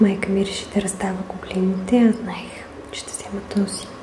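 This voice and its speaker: A soft-spoken woman with a gentle tone, medium pitch and flat, monotone intonation, over noticeable background noise. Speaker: ASMR creator. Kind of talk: ASMR soft-spoken home tour of vintage tapestries. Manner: soft-spoken, gentle.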